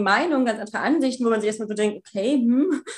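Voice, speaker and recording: A woman with a fairly high pitch talks at a very fast pace with ordinary pitch variation. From Germany, small town. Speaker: escort agency owner and student. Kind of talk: interview. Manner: hesitant, many filler sounds.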